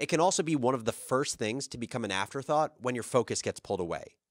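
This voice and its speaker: A man talks with lively intonation, and the background stays quiet. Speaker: podcast host. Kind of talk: podcast intro and ad read. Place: studio. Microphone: studio mic.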